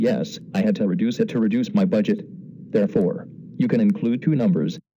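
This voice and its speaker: In a cartoonish character voice, a man talks at a fairly quick pace with a fairly high pitch, very wide pitch swings and a deadpan tone. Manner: deadpan announcer.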